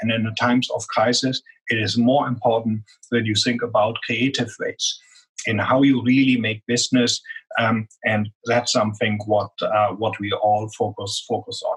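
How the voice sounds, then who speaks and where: Speaking with a strong German accent, a man uses a medium pitch and a monotone, flat intonation. His pace is moderate, and the sound is dry and close with no echo. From Germany. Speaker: business executive. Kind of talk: interview.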